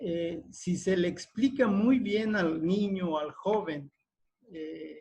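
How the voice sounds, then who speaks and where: A man's high-pitched voice with a Veracruz accent and ordinary pitch variation. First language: Totonac (speaking Spanish). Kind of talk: panel discussion. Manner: halting, many fillers.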